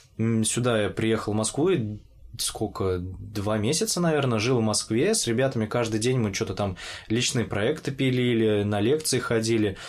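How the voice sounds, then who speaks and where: At a moderate pace and very even loudness, a man with an unremarkable speaking voice talks at a medium pitch with ordinary pitch variation. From Orenburg, Russia. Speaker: podcast host. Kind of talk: casual interview chat.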